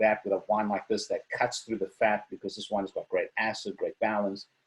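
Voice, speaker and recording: A man speaks with a South African accent. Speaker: wine seller. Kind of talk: online wine tasting presentation.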